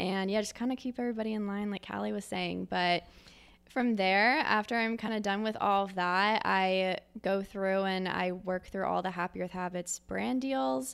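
In an American accent, a woman talks at a moderate pace and a medium pitch, with ordinary pitch variation in a normal speaking voice. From Philadelphia, Pennsylvania. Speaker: operations director at a creative agency. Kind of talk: casual interview chat.

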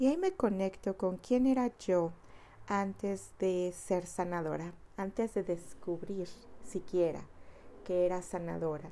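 A woman's warm, dark, mellow voice at medium pitch, with ordinary pitch variation and a fairly slow pace. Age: 40s. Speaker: spiritual healer. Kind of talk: personal testimony.

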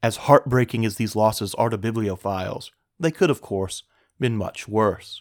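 Dramatic male delivery at medium pitch and a moderate pace, ordinary pitch variation, dry and close with no echo, on a very clean recording with a silent background. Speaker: podcast host and curator. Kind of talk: history documentary narration. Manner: measured, formal storytelling tone; clear, dramatic narration that builds suspense.

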